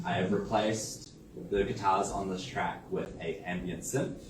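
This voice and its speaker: Speaking in a New Zealand accent, a man with a fairly low pitch talks at a fairly slow pace amid audible room echo and noticeable background noise. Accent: Kiwi. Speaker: artist and musician. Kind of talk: presentation. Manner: halting, many fillers.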